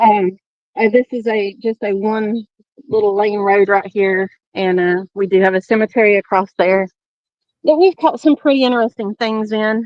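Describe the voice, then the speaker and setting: With a Southern US accent, a woman speaks at a fairly high pitch and a moderate pace. Her pitch varies in an ordinary way. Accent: southern twang. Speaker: tour guide at a paranormal shrine. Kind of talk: guided walking tour on a live stream. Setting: outdoors at dusk.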